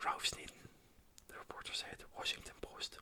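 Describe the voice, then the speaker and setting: Whispering with a Scottish accent, a man speaks at a moderate pace. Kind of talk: ASMR whispered book reading. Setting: binaural microphone. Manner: whispered, soft-spoken.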